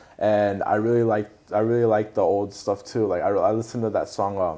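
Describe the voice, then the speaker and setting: Delivered at a moderate pace, this dark, mellow voice keeps a fairly even intonation and very even loudness. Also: man, fairly low pitch for a man. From Southern California, Orange County (Costa Mesa). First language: Spanish. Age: 20s. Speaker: singer and rapper. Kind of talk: casual interview. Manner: casual, many fillers.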